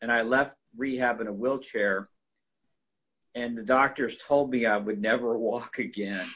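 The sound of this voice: This man speaks in a normal speaking voice, his medium pitch held to a fairly even intonation.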